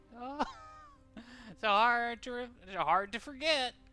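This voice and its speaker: A put-on character voice with a fairly high pitch. Music plays in the background. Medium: actual play. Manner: blunt, offbeat.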